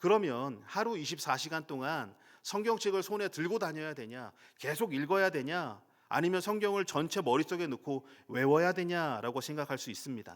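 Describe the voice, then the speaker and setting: This man has an unremarkable speaking voice, pitched fairly high, with lively intonation at a moderate pace. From Daejeon, South Korea. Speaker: pastor. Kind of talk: sermon.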